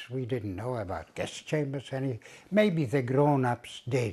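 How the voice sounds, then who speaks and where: Lively intonation marks a man's fairly high pitch and dark, mellow tone. He speaks at a fairly slow pace. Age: 80s+. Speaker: Holocaust survivor. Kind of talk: testimony. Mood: somber recollection. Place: home room.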